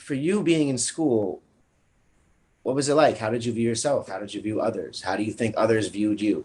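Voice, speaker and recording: Pitch moves in an ordinary way. The delivery is fairly quick. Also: man, medium pitch for a man. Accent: strong New York. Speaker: interviewer. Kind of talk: interview. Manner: halting, repetitive.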